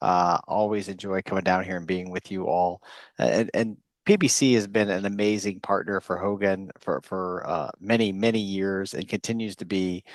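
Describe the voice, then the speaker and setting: With an American accent, the speaker talks at a moderate pace in a monotone, flat intonation, the sound dry and close with no echo against a quiet background. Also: man, fairly low pitch for a man. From United States. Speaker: psychologist and chief science officer. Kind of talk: conference presentation. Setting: virtual forum.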